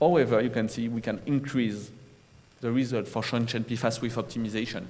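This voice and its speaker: A man speaks at a medium pitch with audible room echo around his voice. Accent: strong French. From France. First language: French. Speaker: environmental remediation project manager. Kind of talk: conference presentation. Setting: conference room with audience, recorded. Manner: halting, with self-corrections.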